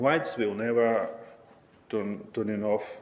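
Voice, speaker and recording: Very slowly and with fairly even intonation, a man with a non-native accent speaks at a medium pitch. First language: not English. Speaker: public commenter, asylum seeker. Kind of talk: public comment testimony. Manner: halting, many fillers.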